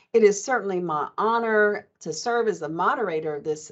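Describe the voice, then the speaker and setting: With an American accent, a woman speaks in a plain, everyday voice at a moderate pace and with ordinary pitch variation. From Oklahoma. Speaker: panel moderator, college diversity officer. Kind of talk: panel moderation. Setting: video call.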